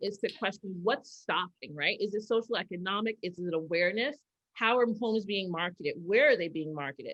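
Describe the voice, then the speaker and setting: Speaking with an American accent, a woman goes at a fairly quick pace with medium pitch and ordinary pitch variation. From New York. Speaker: keynote speaker. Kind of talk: keynote Q&A discussion. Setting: video call. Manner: loud.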